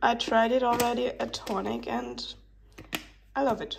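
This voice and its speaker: Noticeable background noise behind a woman talking. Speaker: vlogger. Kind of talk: casual vlog monologue. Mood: teary, emotional.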